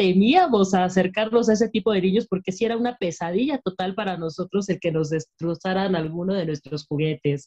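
A woman speaks at a fairly quick pace in a dark, mellow tone. Her pitch is medium, with ordinary pitch variation. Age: 30s. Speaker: podcast co-host. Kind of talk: casual chat.

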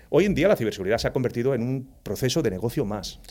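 Music can be heard behind the voice. Its intonation is lively. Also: man. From Spain, Andalusia (Jaén province). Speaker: cybersecurity executive. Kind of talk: casual interview.

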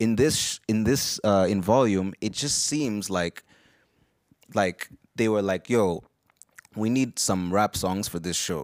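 At a fairly slow pace and fairly low pitch, a man talks with ordinary pitch variation and long, frequent pauses. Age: 20s. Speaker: podcast host. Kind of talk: casual chat.

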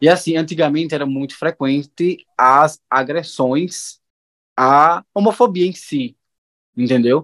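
In dry, close sound with no echo, a man with a normal speaking voice talks at a fairly high pitch with ordinary pitch variation. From Juazeiro, Bahia, Brazil. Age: 20s. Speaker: receptionist. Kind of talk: casual chat.

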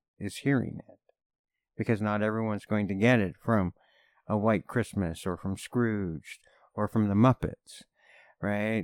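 Recorded very cleanly with a silent background and a dry, close sound with no echo, a man speaks in an ordinary speaking voice with a Canadian accent, fairly low pitch, fairly even intonation and a moderate pace. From Canada. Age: 50s. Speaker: podcast guest. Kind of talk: casual chat.

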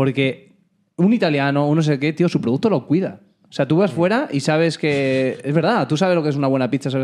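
A man with a plain, everyday voice talks at a fairly quick pace with a fairly high pitch, ordinary pitch variation and very even loudness. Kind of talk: casual chat. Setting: home studio.

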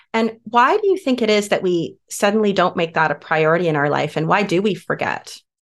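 A woman speaks in a warm, enthusiastic tone at a medium pitch and a fairly quick pace. Her intonation is lively and her loudness stays very even. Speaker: podcast host. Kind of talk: interview conversation.

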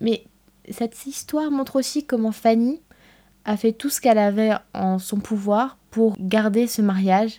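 A woman speaks at a fairly slow pace with a fairly high pitch and ordinary pitch variation. Her tone is dark and mellow. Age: 20s. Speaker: podcast host. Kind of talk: scripted narration.

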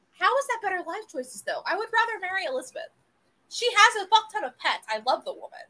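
Raised and projected, a woman's extremely high voice has a bright, sharp tone, very wide pitch swings, big swings in loudness and a very fast pace. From US South, South Florida. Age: 20s. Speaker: podcast co-host. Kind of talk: casual chat.

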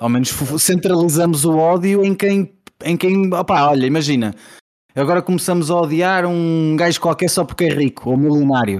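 At a moderate pace, a man with a high pitch speaks with ordinary pitch variation and very even loudness. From Portugal, Porto. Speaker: podcast host. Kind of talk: casual chat.

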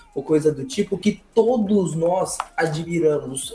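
A man's voice sits high for his sex, its pitch moving in an ordinary way, with noticeable noise behind him. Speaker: podcast panelist. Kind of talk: casual chat. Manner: soft-spoken.

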